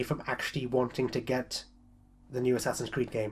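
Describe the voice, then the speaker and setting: Fairly quick delivery in a British accent. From Britain. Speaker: gaming vlogger. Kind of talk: casual chat.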